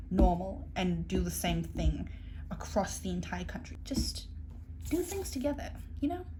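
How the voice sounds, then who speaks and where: A woman speaks with a South African accent. Her pace is moderate. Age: 20s. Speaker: au pair. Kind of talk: casual talk to camera.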